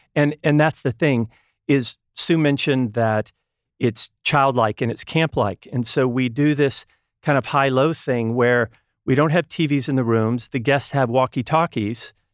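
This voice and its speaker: A man with an ordinary speaking voice and an American accent talks at a medium pitch with ordinary pitch variation, in a dry, close sound with no echo. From Texas. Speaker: wellness retreat co-founder. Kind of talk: casual interview.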